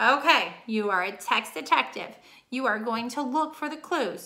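A woman speaks in a raised, projected voice with a bright, sharp tone and high pitch. Her intonation is lively, and the background is quiet. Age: 30s. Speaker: teacher. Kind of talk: reading lesson for pupils. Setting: recorded video lesson. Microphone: webcam.

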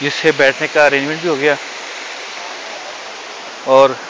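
Over clear background noise, a man speaks at a medium pitch with ordinary pitch variation.

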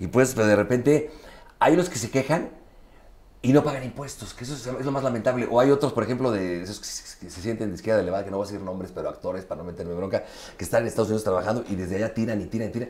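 A man with a Mexican accent talks at a very fast pace, his loudness swinging widely. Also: ordinary pitch variation. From Mexico. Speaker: interviewer. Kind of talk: casual interview. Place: home room. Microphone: lapel.

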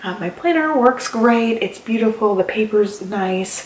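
Fairly slow female speech, with audible room echo. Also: ordinary pitch variation. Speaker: planner vlogger. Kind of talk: casual vlog chat.

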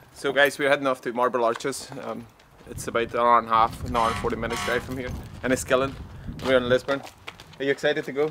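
A man's very fast, flat monotone over noticeable background noise. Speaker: family travel vlogger. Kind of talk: casual vlog chat. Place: street.

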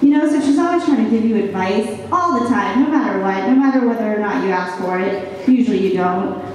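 Over light background noise and strong room echo, a woman speaks with lively intonation and hardly any pauses. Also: fairly high pitch for a woman. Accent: American. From Virginia, US East Coast. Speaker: stand-up comedian. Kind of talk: stand-up. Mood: wry, self-deprecating humor. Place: hall.

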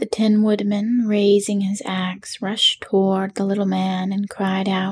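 Someone reads the text aloud in a natural voice.

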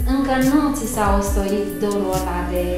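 A woman's voice with audible room echo and clear music in the background. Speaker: interviewer, show host. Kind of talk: interview question. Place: home room. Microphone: camera far.

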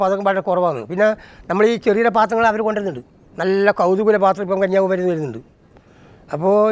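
The man's voice sits high in pitch with ordinary variation, recorded dry with no echo. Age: 70s. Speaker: traditional potter. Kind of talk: interview testimony. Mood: rueful, explaining hardships. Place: home room. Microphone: lapel.

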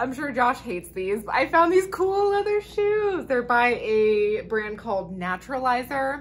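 Her pitch high and swinging very widely, a woman speaks at a fairly slow pace. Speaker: vlogger. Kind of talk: casual vlog chat. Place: home room. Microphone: camera far.

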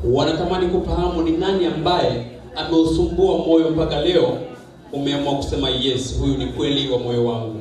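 There is audible room echo and light background noise. A man talks with fairly high pitch and ordinary pitch variation. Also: moderate pace. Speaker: wedding MC. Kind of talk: event MC patter hyping a wedding crowd, interviewing the bride and calling for cheers. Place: hall.

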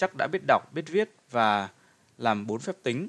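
A man with a medium-pitched voice speaks fairly slowly with very wide pitch swings, in a very clean, dry, close recording with a silent background and no echo. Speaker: narrator reading a history book. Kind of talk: reading aloud. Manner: formal.

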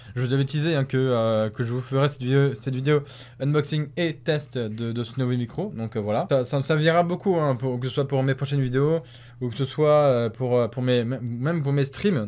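Pitch variation is ordinary for this man. He talks at a moderate pace. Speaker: YouTuber; gamer youtuber. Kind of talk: unboxing and product test video. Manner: hesitant, many fillers; excited exclamations. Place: home room. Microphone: new USB condenser microphone; studio mic.

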